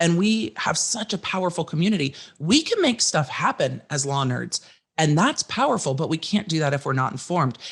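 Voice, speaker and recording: A loud woman talks at a fairly quick pace, her fairly low pitch making very wide swings. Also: quiet background. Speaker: legal commentator and content creator. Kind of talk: casual chat. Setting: podcast interview.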